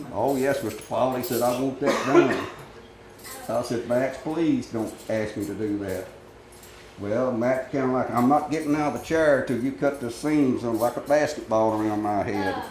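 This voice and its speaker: With a Tennessee accent, this voice moves at a moderate pace with ordinary pitch variation, set against audible room echo and noticeable background noise. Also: man, medium pitch for a man. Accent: US Southern (Tennessee). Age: 70s. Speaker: barber. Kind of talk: interview storytelling.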